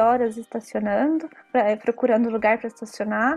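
Speaking at a moderate pace, a woman keeps a fairly high pitch with monotone, flat intonation. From Brazil, São Paulo. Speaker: language teacher. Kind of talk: casual interview.

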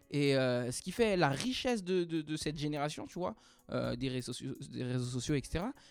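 A man's fairly high voice at a fairly slow pace, with lively intonation. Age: 20s. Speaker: professional dancer. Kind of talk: casual interview. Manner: hesitant, many fillers.

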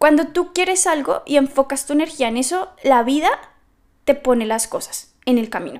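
A woman's high-pitched, animated voice at a moderate pace, with lively intonation, on a very clean recording with a silent background. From Colombia, Bogotá. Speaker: business coach and podcast host. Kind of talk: solo podcast monologue.

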